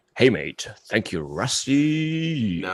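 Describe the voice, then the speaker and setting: Drawling in an Australian accent, the speaker puts on a character voice that swings very widely in pitch. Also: man, medium pitch for a man. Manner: friendly.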